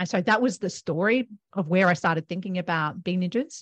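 A woman with an Australian accent, fairly low-pitched, over a quiet background with a dry, close sound and no echo. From Australia, Melbourne. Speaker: accounting firm co-founder. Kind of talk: interview.

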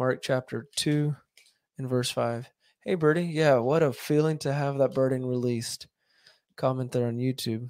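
A man with a plain, everyday voice talks at a medium pitch with fairly even intonation, recorded very cleanly against a silent background. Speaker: YouTube podcast host reading aloud. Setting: live stream with viewers commenting. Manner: measured, earnest, reverent reading; unhurried, slightly conversational.

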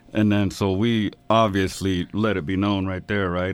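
This man has an American accent, a fairly low pitch, and a monotone, flat way of speaking. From Texas. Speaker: rapper. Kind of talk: casual chat.

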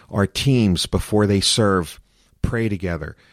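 Recorded very cleanly with a silent background and a dry, close sound with no echo, a man with an American accent speaks at a moderate pace, his fairly low pitch varying in an ordinary way. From US Northeast, Philadelphia. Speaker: pastor. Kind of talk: interview conversation.

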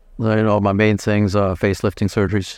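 Very fast speech from a man with fairly low pitch, against a quiet background. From Germany (Frankfurt). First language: German. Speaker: plastic surgeon. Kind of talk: interview. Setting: convention hall, live event.

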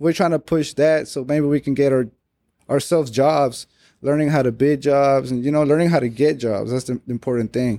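A man with an American accent and a dark, mellow tone, at a moderate pace with fairly even intonation, on a very clean recording with a silent background. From Mexico, Monterrey until age six, then Texas. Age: 20s. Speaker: welder and fabricator. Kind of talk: interview conversation.

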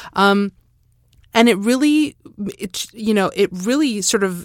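A woman's slow-ish, lively-intoned speech with a Canadian accent, on a very clean recording with a silent background. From Alberta, Canada. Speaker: audio describer and performer. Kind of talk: panel discussion. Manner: halting.

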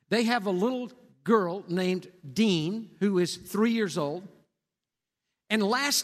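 With a Texan accent, a man speaks in a high voice with lively intonation on a very clean recording with a silent background. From Texas, Cisco. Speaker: pastor. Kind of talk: sermon. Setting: church.

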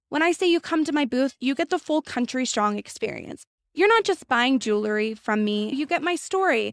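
Speaking with an American accent, a woman with a high pitch makes very wide pitch swings at a moderate pace, with very even loudness, hardly any pauses and a dry, close sound with no echo. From central Washington. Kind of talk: casual interview. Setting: outdoors at a festival.

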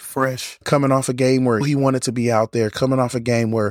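Fairly quick in pace, a man speaks at medium pitch with monotone, flat intonation. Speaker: sports podcast host. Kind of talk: solo sports preview podcast. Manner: casual, quick run-through.

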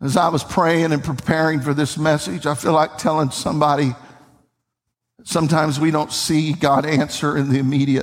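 A man with a Tennessee accent talks at a moderate pace in a fairly high voice, keeping his loudness very even. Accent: Southern US (Tennessee). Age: 50s. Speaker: pastor. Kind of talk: sermon. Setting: church. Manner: animated.

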